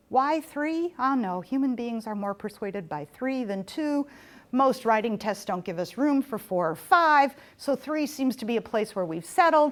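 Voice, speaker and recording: A woman's high, animated voice with very wide pitch swings, on a very clean recording with a silent background. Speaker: professor. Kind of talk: lecture. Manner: fast.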